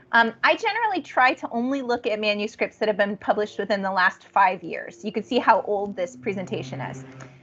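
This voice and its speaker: Fairly quick, with hardly any pauses, a woman speaks at a fairly high pitch with very wide pitch swings. Noticeable background noise is present. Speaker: nursing research instructor. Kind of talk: online training lecture. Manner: fast.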